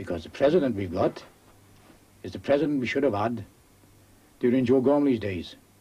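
A man with a South Wales accent speaks at a fairly quick pace, using lively intonation but long, frequent pauses. His tone is dark and mellow, and somewhat breathy. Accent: South Wales valleys. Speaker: coal miner. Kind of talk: casual interview. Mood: earnest, frustrated about union politics. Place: tunnel cave.

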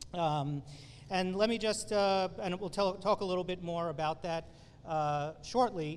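At a fairly slow pace, a man talks in a high pitch. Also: ordinary pitch variation. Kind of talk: press conference speech. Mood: excited, nostalgic. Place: hall. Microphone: podium.

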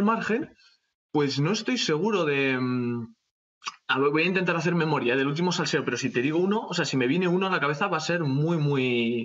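Against a quiet background, a man talks at a moderate pace. His pitch is fairly high. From Spain. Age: young. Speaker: bushcraft YouTuber. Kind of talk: casual chat. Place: home room. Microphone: video call.

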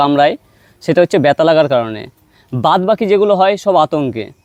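His intonation is lively and his pitch high for a man. The sound is dry and close with no echo. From West Bengal, Hooghly district. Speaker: snake rescuer and vlogger. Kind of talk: outdoor rescue vlog narration.

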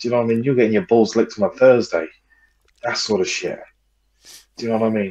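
A man talks very fast in a dark, mellow tone with ordinary pitch variation. Long, frequent pauses break up his speech, and the background is quiet. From England. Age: 30s. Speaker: podcast co-host. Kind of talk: casual chat. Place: home room. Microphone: headset.

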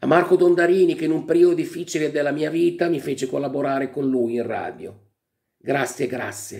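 The man's pitch is fairly high with ordinary variation, and his pace is fairly quick. The background is quiet. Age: 50s. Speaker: comedian and impressionist; comedian. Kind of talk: award acceptance speech. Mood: emotional, grateful. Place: home room. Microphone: webcam.

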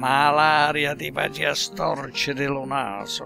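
A man with a medium pitch talks at a very slow pace while music plays in the background. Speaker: poet. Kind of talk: dialect poetry reading.

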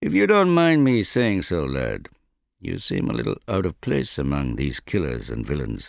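A man speaks in a put-on character voice, gruff and very deep. His pitch swings very widely at a moderate pace. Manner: gruff, blunt.

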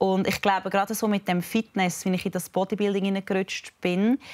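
A woman with fairly even intonation against a quiet background. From Switzerland. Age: 20s. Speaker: fitness influencer. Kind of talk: TV interview. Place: studio. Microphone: lapel.

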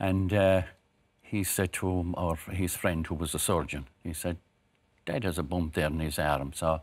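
In a Cork accent, the speaker keeps a moderate pace and fairly even intonation, with long, frequent pauses. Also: man, very deep, low pitch for a man. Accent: Cork Irish. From Ireland, Cork. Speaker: cancer survivor. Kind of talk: TV interview. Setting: TV studio. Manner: halting. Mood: reflective, earnest. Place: studio. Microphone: lapel.

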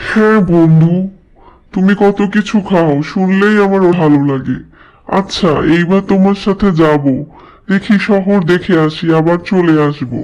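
In a cartoonish character voice, a man speaks slowly-ish at a fairly slow pace and a high pitch. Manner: humble, earnest.

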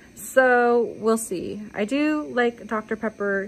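A woman's lively intonation over light background noise. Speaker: vlogger. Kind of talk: casual vlog chat. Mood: cheerful, chatty. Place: home room. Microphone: phone near.

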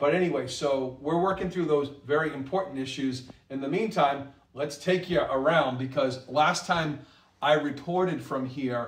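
Somewhat breathy and at a fairly slow pace, a man speaks with ordinary pitch variation amid audible room echo. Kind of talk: walking tour commentary. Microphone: camera far.

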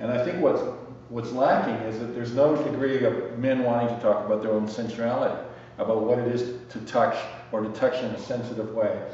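There is strong room echo and light background noise. A man talks at a fairly quick pace. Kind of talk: interview answer. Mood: reflective, thoughtful. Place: workshop.

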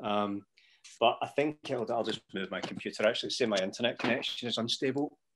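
A man speaks with a Scottish accent. His pace is fairly quick and his pitch varies in an ordinary way. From Scotland. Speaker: actor. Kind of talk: casual interview chat. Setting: video call. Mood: reflective, candid. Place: home room. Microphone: video call.

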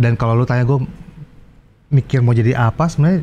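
A man's medium-pitched voice, somewhat breathy and dark, mellow in tone, with ordinary pitch variation, a fairly quick pace and light background noise. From Indonesia. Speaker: guitarist and guitar teacher; guitar teacher. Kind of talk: casual interview chat. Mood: relaxed storytelling. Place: studio. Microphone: lapel.

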